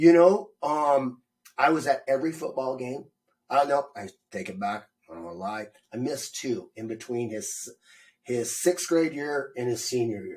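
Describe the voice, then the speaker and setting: A man with an American accent has an unremarkable speaking voice and a fairly high pitch. He speaks at a moderate pace with lively intonation and big swings in loudness. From Montana. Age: 50s. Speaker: army veteran, small business owner. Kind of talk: interview answer, casual.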